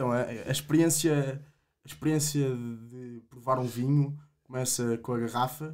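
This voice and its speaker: Fairly slow, fairly even speech comes from a man. All is quiet behind him. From Portugal, Coimbra; Portugal. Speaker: agronomy student, wine association president; podcast guest. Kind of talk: casual interview. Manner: halting, many repetitions. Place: studio. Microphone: studio mic.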